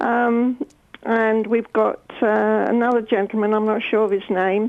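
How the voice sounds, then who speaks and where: The speech comes at a fairly slow pace. Its intonation is monotone and flat, with very even loudness. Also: woman, fairly high pitch for a woman. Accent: southern English. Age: 70s. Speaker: caller, fitness class member. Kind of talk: radio phone-in chat. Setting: phone call.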